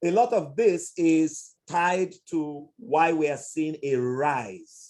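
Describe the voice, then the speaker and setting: Lively intonation marks this man's speech. His pitch is fairly high. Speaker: psychologist lecturer. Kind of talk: lecture Q&A answer.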